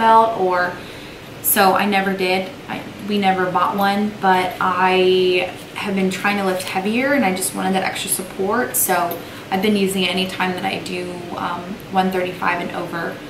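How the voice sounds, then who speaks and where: Noticeable background noise around a woman at a moderate pace. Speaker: fitness vlogger. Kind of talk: casual vlog chat. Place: office.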